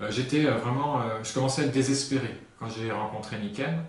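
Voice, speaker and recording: The speech moves at a fairly quick pace with fairly even intonation. Audible room echo and noticeable background noise fill the recording. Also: man. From north-eastern France, Lorraine (Lunéville near Nancy). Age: 30s. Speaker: hypnotherapist and sales consultant. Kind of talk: interview. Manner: hesitant, many fillers.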